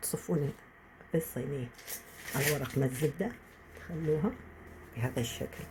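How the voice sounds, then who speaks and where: Taking long, frequent pauses, a woman speaks at a very deep, low pitch with ordinary pitch variation. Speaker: home cook. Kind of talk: cooking tutorial.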